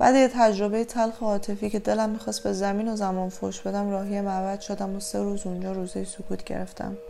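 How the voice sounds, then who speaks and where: There is noticeable background noise behind this woman. She speaks at a very fast pace with hardly any pauses. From Iran, Tehran. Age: 30s. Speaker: writer and medical sciences student. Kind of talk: personal testimony.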